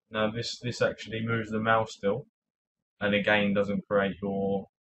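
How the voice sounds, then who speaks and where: With a British accent, a man talks at a moderate pace and a fairly low pitch. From UK. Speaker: tech tutorial YouTuber. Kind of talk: tutorial. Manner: casual with frequent fillers and hesitations.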